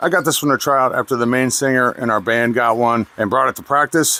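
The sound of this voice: A man talks at a fairly quick pace in a bright, sharp, nasal tone, with medium pitch and ordinary pitch variation.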